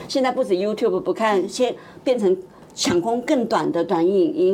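A woman talks at a moderate pace, her pitch swinging very widely. Noticeable background noise is present. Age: old. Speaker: TV producer. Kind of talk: casual chat. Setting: studio.

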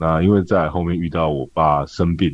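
This man's pitch is very deep and low. He keeps a moderate pace and fairly even intonation. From Taiwan, Tainan. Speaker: restaurant owner and chef. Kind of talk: interview.

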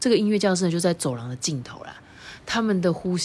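Lively intonation carries this natural reading voice.

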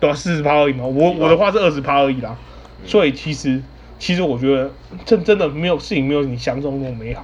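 Noticeable background noise sits behind a man talking at a very fast pace, fairly high in pitch, with ordinary pitch variation. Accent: Taiwanese. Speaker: podcast host. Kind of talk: casual chat. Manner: halting, many repeated words.

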